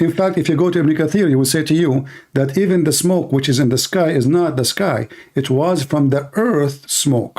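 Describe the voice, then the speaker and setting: A man with an Arabic accent talks at a moderate pace and fairly high pitch. His loudness stays very even, and his pitch varies in an ordinary way. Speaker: religious debate host. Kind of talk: heated debate.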